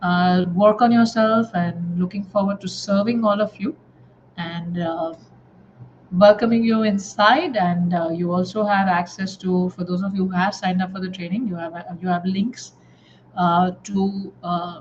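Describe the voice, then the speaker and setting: Fairly slow, somewhat breathy speech from a woman at a medium pitch with fairly even intonation. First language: not English. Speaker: life coach trainer. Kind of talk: live online class. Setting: live stream with comments. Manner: halting, many filler words.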